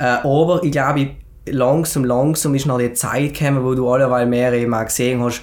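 In a room with audible echo, a man talks at a moderate pace and medium pitch with fairly even intonation. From South Tyrol, Schnals valley. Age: 20s. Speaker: entrepreneur and fitness author. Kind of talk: podcast interview, personal story. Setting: studio, sitting together in person.

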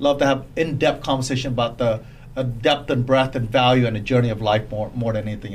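Amid noticeable background noise, a man speaks fairly quickly at medium pitch in a monotone, flat delivery. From Cambodia. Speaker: real estate agent and former police officer. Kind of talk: casual interview chat.

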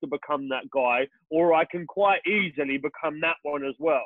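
At a moderate pace, a man is speaking. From England, Peterborough. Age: 30s. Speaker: entrepreneur. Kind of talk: interview. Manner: energetic.

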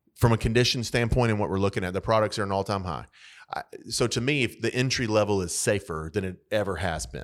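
On a very clean recording with a silent background, a man with a fairly low pitch and vocal fry talks at a very fast pace with ordinary pitch variation. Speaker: real estate podcast host. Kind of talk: casual chat.

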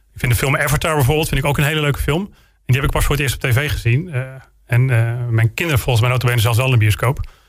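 A man with a medium-pitched, somewhat breathy voice talks at a very fast pace, his pitch varying in an ordinary way. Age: 40s. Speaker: local politician and military instructor. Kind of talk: interview.

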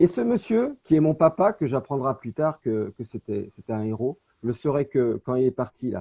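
Using lively intonation, a man with a medium-pitched voice talks at a moderate pace. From France, Saint-Étienne (Loire). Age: 50s. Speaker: real estate agent. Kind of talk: interview. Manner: halting.

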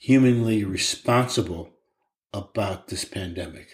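Speaking at a very slow pace, a man uses a medium pitch with ordinary pitch variation. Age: 60s. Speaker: podcast co-host, dad. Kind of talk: casual chat.

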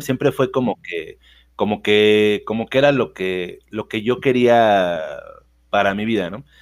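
Fairly slow delivery with big swings in loudness and ordinary pitch variation. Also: man, medium pitch for a man. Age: 40s. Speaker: business founder. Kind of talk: interview. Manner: halting, many repetitions.

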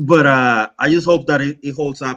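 With a Spanish accent, a man speaks at a moderate pace in a fairly high pitch and a bright, sharp tone, his pitch varying in an ordinary way. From Mexico (Monterrey). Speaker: mountain bike YouTuber. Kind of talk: casual chat. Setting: video call livestream. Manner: animated.

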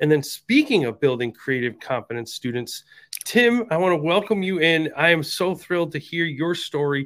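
On a very clean recording with a silent background, a man with a normal speaking voice talks at a moderate pace in a fairly high pitch, his intonation lively. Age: 50s. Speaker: podcast host, former principal. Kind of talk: casual interview chat.

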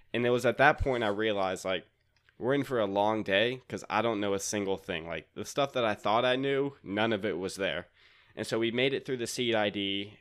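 With an American accent, a man talks at a fairly quick pace in an ordinary speaking voice, his fairly low pitch showing ordinary pitch variation. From North Carolina, Raleigh. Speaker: podcaster and accountant. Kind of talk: casual chat.

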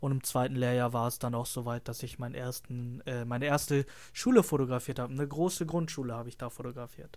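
On a very clean recording with a silent background, a man speaks. His pitch is medium and his intonation monotone and flat. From northern Germany, Lüneburg. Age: 20s. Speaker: trainee photographer. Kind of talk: casual chat.

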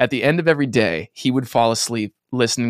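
A man speaks in a normal speaking voice at a fairly quick pace, with ordinary pitch variation. The recording is very clean, with a silent background. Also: dry, close sound with no echo. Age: 20s. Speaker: comedy musician. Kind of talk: casual chat.

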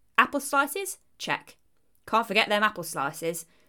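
A woman speaks at a medium pitch and a moderate pace, in an East Midlands accent. Her pitch swings very widely. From Leicestershire, England. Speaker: podcast host. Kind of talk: scripted narration, history podcast.

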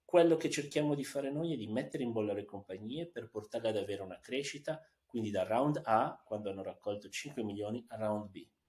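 At a fairly quick pace, a man talks in a normal speaking voice with lively intonation. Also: medium pitch for a man. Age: 40s. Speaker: tech entrepreneur. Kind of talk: interview. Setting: studio.

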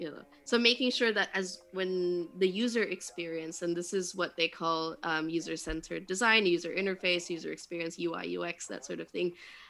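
Speaking at a moderate pace with hardly any pauses, a woman has a fairly low pitch, a bright, sharp tone, and ordinary pitch variation. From Indonesia. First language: English (self-described), Indonesian second. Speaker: startup mentor and podcast host. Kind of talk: casual interview chat, code-switching Indonesian and English.

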